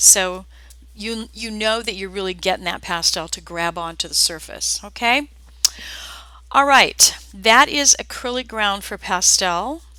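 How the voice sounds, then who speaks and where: At a fairly slow pace, a woman speaks at medium pitch in a bright, sharp tone. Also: ordinary pitch variation, big swings in loudness. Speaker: art teacher. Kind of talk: live tutorial. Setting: live video stream. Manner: casual, chatty.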